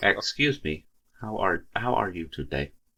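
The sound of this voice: A man puts on a robotic character voice with a fairly low pitch, speaking at a moderate pace.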